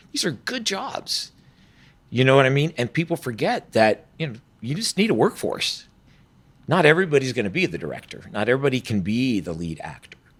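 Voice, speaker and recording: Talking at a fairly quick pace, a man with an American accent uses vocal fry at a medium pitch, his pitch swinging very widely. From Georgia, US South. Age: 60s. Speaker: film academy administrator, former film producer. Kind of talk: podcast interview.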